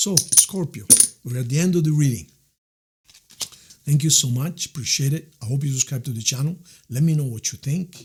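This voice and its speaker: A man with an Italian accent, fairly high and somewhat breathy, at a moderate pace with long, frequent pauses. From Italy. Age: 60s. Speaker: tarot reader. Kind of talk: tarot reading. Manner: warm, conversational.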